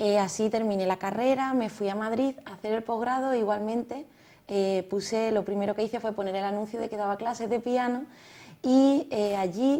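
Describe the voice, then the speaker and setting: A woman with a Cádiz Andalusian accent, dark and mellow in tone, fairly high in pitch, at a moderate pace with fairly even intonation. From Cádiz, Andalusia, Spain. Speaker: music method founder, pianist and architect. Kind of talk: TV interview.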